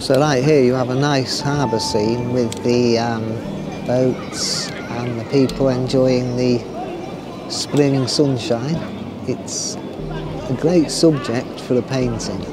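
Music plays in the background of a dry sound with no echo. A man speaks at a very slow pace. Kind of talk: casual vlog chat. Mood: cheerful, relaxed. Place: waterside. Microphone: phone near.

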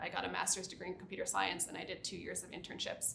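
A woman speaks with an American accent. Audible room echo and light background noise come through. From US Northeast, New Jersey Shore; New Jersey. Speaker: site reliability engineer; interviewee. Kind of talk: interview. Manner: casual, many fillers. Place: studio. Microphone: lapel.

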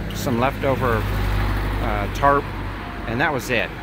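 Loud background noise fills this dry recording with no echo. A man talks at a fairly slow pace. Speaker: travel vlogger. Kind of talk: casual vlog chat. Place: street. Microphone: phone near.

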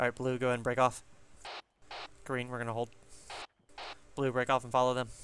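Over light background noise, the dry, echo-free voice rushes at a very fast pace in a monotone, flat way, with long, frequent pauses. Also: man. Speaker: gaming squad leader. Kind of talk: tactical game comms. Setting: online voice chat. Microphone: headset.

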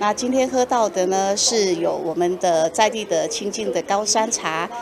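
A woman's voice at a moderate pace over noticeable background noise. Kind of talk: interview answer. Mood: warm, cheerful. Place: garden.

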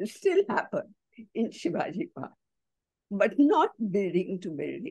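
Over a quiet background, a woman with a fairly high pitch and a dark, mellow tone speaks at a very slow pace, her pitch swinging very widely. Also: dry sound with no echo. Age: 80s+. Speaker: writer and cultural columnist; guest. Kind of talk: online talk Q&A. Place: home room. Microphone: video call.

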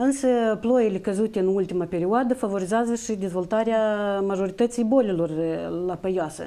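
Speaking at a moderate pace, a woman uses a medium pitch with ordinary pitch variation. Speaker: plant health monitoring official. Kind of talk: expert interview. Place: studio. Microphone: lapel.

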